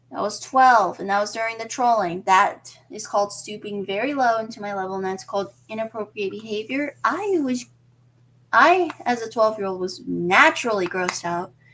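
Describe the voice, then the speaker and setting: A woman speaks at a moderate pace in a fairly high voice, an ordinary speaking voice. Her pitch variation is ordinary, while her loudness swings widely. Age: 20s. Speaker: streamer. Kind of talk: casual livestream monologue.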